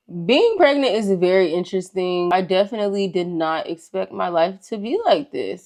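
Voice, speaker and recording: A medium-pitched woman with an American accent at a moderate pace, over a quiet background. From US South, Georgia (McDonough, Atlanta area). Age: 20s. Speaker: lifestyle vlogger. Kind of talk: casual chat. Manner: animated.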